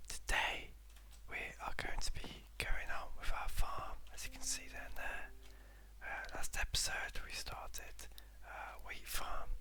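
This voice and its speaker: A soft-spoken man talks in a calm tone at a fairly slow pace, with long, frequent pauses. His loudness swings widely, and there is noticeable background noise. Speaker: ASMR gaming creator. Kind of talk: soft-spoken ASMR gameplay commentary. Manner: soft-spoken, calm.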